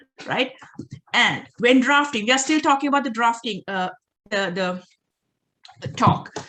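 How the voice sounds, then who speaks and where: Speaking at a moderate pace with long, frequent pauses, a woman with a Sri Lankan accent has a high pitch, lively intonation and a bright, sharp tone. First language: Sinhala. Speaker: doctoral researcher, workshop presenter. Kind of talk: workshop presentation. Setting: online video call.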